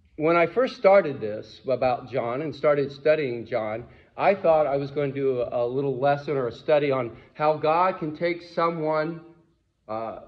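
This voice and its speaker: A fairly high-pitched man at a fairly slow pace, with ordinary pitch variation and audible room echo. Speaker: pastor. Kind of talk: sermon. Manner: jittery.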